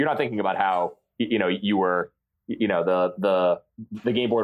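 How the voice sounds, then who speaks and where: The speaker has an American accent, ordinary pitch variation and a fairly quick pace. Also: man. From central Massachusetts. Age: 30s. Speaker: sports fan guest. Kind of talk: casual chat. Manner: halting, many repeated words.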